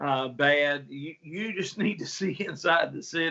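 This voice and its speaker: A man in a strong Appalachian accent, fairly high in pitch, fairly slow, with ordinary pitch variation. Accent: strong Appalachian Southern. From West Virginia and Tennessee. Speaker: pastor. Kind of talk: casual interview.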